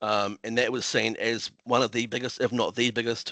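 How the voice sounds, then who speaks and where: A man with a New Zealand accent talks fairly quickly at medium pitch, his bright, sharp tone flat and monotone, in a dry, close recording with no echo. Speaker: council planner. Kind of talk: conference presentation. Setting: online video meeting. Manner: fast; hesitant, many fillers and repetitions.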